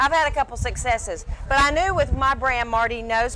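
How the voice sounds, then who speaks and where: Animated in tone, a woman talks at a very fast pace with a Southern US accent. Noticeable background noise can be heard. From Alabama, Birmingham (US South). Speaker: celebrity chef and TV personality. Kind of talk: interview.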